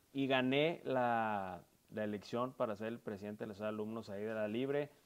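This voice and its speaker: A man's plain, everyday voice, medium in pitch, with ordinary pitch variation and a fairly slow pace. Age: 30s. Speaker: politician. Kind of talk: interview. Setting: furniture store.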